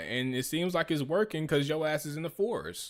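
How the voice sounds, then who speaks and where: A man's fairly high, animated voice with ordinary pitch variation, in a very clean recording with a silent background. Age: 30s. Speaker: streamer reacting to video. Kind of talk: casual commentary.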